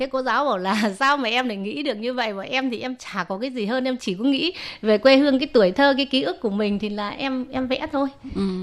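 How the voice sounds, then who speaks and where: A woman with a high pitch talks at a very fast pace, her pitch varying in an ordinary way. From Vietnam. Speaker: immigrant painting student and folk singer. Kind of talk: interview.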